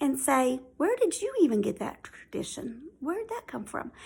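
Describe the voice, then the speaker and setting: In a Southern US accent, a woman speaks at a high pitch with very wide pitch swings. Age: 50s. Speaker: YouTuber. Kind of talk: casual chat. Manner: hesitant, many fillers.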